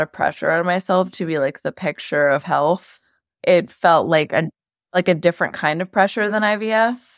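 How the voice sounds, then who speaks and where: A woman with a New York accent speaks at a fairly slow pace and a fairly low pitch, her pitch varying in an ordinary way, in a very clean, dry, close recording with no echo and a silent background. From New York, Queens. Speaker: media company co-founder. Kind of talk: interview.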